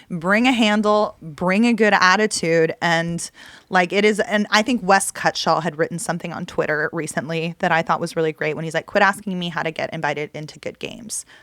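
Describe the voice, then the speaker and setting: A woman's animated, fairly low voice with an American accent, moving at a fairly quick pace. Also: ordinary pitch variation, hardly any pauses. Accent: Texas accent, coming out more now. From Texas, Dallas. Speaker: poker player and podcast host. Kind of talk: casual chat.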